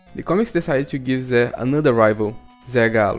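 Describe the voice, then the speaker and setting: Music plays in the background as a man talks. His pitch is medium and his pace moderate. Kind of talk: video essay narration.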